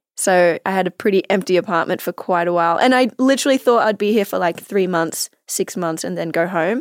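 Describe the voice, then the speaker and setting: In an Australian accent, a woman talks at a fairly quick pace with ordinary pitch variation and hardly any pauses, on a very clean recording with a silent background. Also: medium pitch for a woman, dry, close sound with no echo. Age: 20s. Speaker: actress and photographer. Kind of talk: casual chat.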